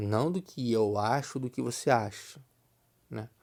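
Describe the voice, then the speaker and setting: In a very clean recording with a silent background, a man speaks at a fairly slow pace with a dark, mellow tone. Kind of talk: religious teaching monologue. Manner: conversational, repetitive.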